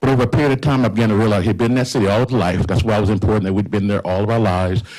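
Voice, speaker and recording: The speaker has an American accent and talks at a very fast pace. Pitch moves in an ordinary way. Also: man. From Indiana, US Midwest. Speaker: community organizer, pastor. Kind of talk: panel talk. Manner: halting.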